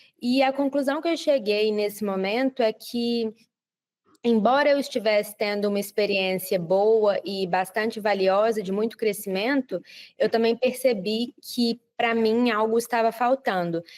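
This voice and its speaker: Heard in a dry, close sound with no echo, the speaker talks at a fairly slow pace with a Brazilian accent and ordinary pitch variation. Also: woman, fairly high pitch for a woman. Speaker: project manager. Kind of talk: interview. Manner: frequent filler hesitations.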